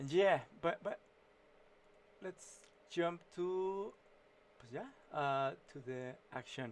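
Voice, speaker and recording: A man with a Mexican accent, high in pitch, very slow, with lively intonation, big swings in loudness, and long, frequent pauses. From Mexico. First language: Spanish. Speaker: illustrator and writer streaming his painting. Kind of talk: casual live-stream commentary while drawing. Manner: halting, many fillers and false starts.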